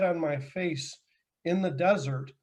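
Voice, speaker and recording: At a moderate pace, a man with an ordinary speaking voice talks in a fairly high pitch. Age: 50s. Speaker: powerlifter and business executive. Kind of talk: interview.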